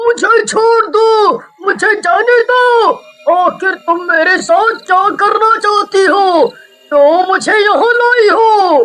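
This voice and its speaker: The speaker uses a cartoonish character voice at a very slow pace. Music plays in the background. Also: man. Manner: pleading, frightened.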